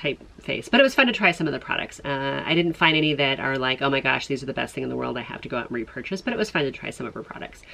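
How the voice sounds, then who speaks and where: Speaking very fast with hardly any pauses, a woman uses lively intonation at a very deep, low pitch. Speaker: beauty vlogger. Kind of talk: casual vlog chat. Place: home room.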